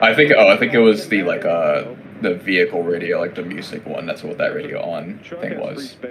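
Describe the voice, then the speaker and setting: Noticeable background noise runs behind a man talking at a fairly quick pace. His loudness swings widely. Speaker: map modder. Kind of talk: casual chat.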